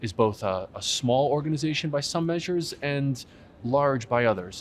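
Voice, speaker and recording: Light background noise is present. Over it, a man talks at a moderate pace. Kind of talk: interview answer. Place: hall.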